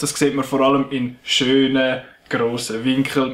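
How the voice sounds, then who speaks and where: With a Swiss accent, the speaker talks at a moderate pace over noticeable background noise. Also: man. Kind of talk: casual film review talk.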